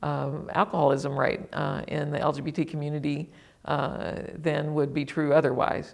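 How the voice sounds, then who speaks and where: This woman's voice sits very deep and low, with vocal fry. Her intonation stays fairly even at a moderate pace. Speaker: former state legislator, advocate. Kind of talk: interview. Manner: halting, many fillers.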